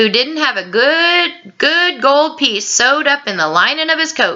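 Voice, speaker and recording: A woman's put-on character voice, high-pitched, with very wide pitch swings. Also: moderate pace. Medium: read story. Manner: gruff, mocking.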